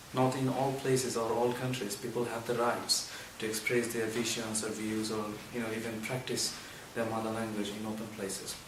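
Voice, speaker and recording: Amid noticeable background noise and audible room echo, a man with a Bengali accent talks at a moderate pace in a medium pitch with monotone, flat intonation. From Bangladesh. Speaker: university student. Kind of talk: interview.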